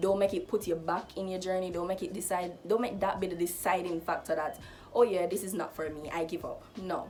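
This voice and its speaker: With music in the background, a woman talks at a fairly quick pace with medium pitch and fairly even intonation. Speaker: lifestyle vlogger. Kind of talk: casual advice vlog.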